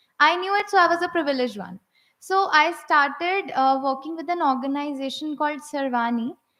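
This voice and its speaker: A woman in a raised, projected voice speaks fairly quickly at a high pitch, with ordinary pitch variation and a bright, sharp tone. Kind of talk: personal testimony speech. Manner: halting, with repetitions and fillers.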